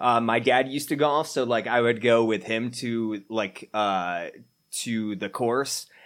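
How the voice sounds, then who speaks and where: Against a quiet background, a man talks fairly slowly at a medium pitch with fairly even intonation. He has an ordinary speaking voice. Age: 30s. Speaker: podcast co-host. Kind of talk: casual chat.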